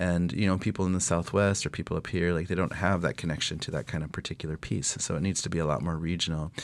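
A man's very deep, low voice at a very fast pace, with fairly even intonation. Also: hardly any pauses. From South Dakota, Pine Ridge Reservation. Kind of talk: radio interview. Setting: studio.

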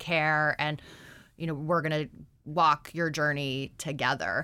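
A woman with an Alaskan accent, very deep, low pitch and a bright, sharp tone, fairly even intonation at a fairly slow pace, on a very clean recording with a silent background. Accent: American (Alaskan). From Alaska, Anchorage. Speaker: nurse practitioner. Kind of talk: radio interview. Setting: radio studio.

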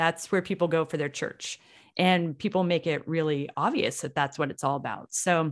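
A woman talks at a fairly quick pace with a fairly low pitch and ordinary pitch variation, in a normal speaking voice. The recording is very clean, with a silent background. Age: 50s. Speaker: radio host, running and triathlon coach. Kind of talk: interview.

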